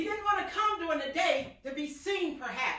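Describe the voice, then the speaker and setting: A woman speaks in a raised, projected voice with a bright, sharp tone. Her delivery is animated, with lively intonation at a moderate pace. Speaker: evangelist and preacher. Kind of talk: sermon, fervent preaching with scripture and call-and-response. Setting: online church service podcast. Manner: animated, impassioned, carried away by the word.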